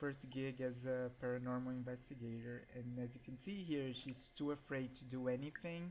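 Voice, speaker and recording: A man talks at a fairly slow pace in a medium-pitched voice. He has a Portuguese accent and fairly even intonation. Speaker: gaming YouTuber. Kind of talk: gameplay commentary.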